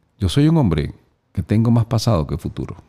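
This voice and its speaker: A man's dark, mellow voice with vocal fry at a fairly quick pace. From Venezuela. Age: 50s. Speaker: motivational speaker and voice-over announcer. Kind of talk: casual interview. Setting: studio. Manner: animated.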